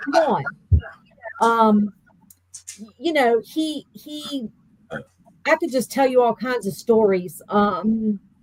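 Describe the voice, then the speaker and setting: With a Virginia accent, a woman speaks at a very slow pace. Her pitch swings very wide. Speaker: bereaved mother. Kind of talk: interview. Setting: podcast.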